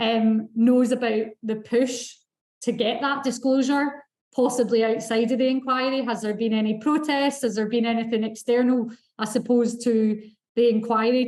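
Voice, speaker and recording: A woman's fairly high, monotone voice with flat intonation, a Scottish accent and a moderate pace. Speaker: event moderator. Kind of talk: panel moderation.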